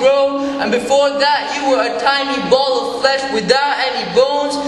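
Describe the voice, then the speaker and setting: Against noticeable background noise, a man talks at a moderate pace with an extremely high pitch. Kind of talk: spoken word poetry performance.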